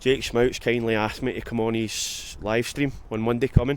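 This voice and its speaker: Speaking in a strong Scottish accent, a man keeps a moderate pace and medium pitch. His intonation is fairly even. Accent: Scottish, strong enough that viewers struggle. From Scotland. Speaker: exterior cleaning business owner and vlogger. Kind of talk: casual work vlog talk to camera. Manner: hesitant, many fillers and repeats.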